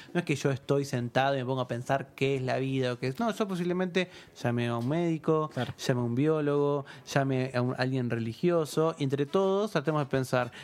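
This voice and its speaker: At a fairly quick pace, a man with an Argentine accent speaks with fairly high pitch and ordinary pitch variation. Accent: Argentine Spanish (voseo). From Argentina, provinces outside Buenos Aires. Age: 30s. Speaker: philosopher. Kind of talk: casual chat. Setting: studio.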